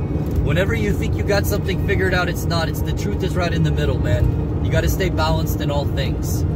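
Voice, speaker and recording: Music plays in the background as a man talks fairly quickly with ordinary pitch variation in a dry sound with no echo. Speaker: religious vlogger. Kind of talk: casual preaching monologue. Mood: earnest, a bit defiant. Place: car. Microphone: phone near.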